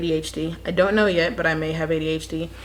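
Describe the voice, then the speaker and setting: A woman's fairly low voice with audible room echo. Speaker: vlogger. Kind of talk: casual vlog chat.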